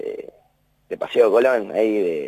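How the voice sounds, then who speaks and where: A man speaks at a very slow pace. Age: 20s. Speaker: university maintenance worker. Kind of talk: interview. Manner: halting, repeats words.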